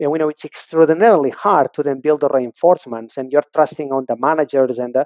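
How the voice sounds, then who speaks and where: His pitch sits fairly high. The man talks with a non-native accent. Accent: foreign. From abroad, non-native English speaker. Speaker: learning and development director. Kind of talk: interview conversation. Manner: fast.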